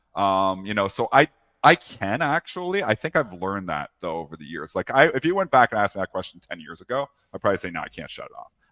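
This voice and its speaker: A man with a fairly low pitch talks at a very fast pace, his bright, sharp tone making very wide pitch swings and big jumps in loudness, all in a dry, close sound with no echo. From Canada. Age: 40s. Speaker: professional trader. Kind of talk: interview. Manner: conversational, with frequent fillers.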